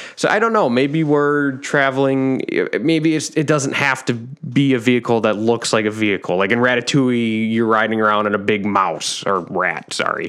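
This man has an ordinary speaking voice, medium in pitch, with very even loudness, ordinary pitch variation, a moderate pace and hardly any pauses. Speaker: podcast host. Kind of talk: casual chat.

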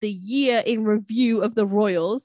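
A woman with a British accent speaks at a fairly high pitch. The sound is dry and close, with no echo. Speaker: podcast co-host. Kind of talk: casual chat. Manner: animated.

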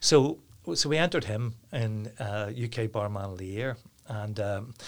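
A man with a Northern Irish accent speaks at a medium pitch, somewhat breathy and with ordinary pitch variation, on a very clean recording with a silent background. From Northern Ireland, Downpatrick. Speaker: hospitality business owner. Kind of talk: interview. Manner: repetitive, halting.

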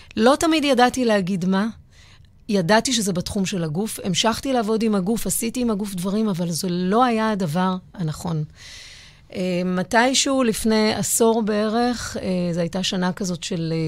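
A woman talks with a medium pitch, ordinary pitch variation, and a moderate pace. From Israel (Givatayim). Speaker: psychologist and dancer. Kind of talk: interview conversation. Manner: halting, with many fillers.

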